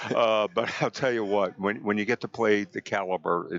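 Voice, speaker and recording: A man speaks with a New Jersey accent. His pace is moderate and his intonation fairly even. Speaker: physical therapist, guest commentator. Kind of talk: live sports commentary chat. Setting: live tournament venue. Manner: hesitant, filler-heavy.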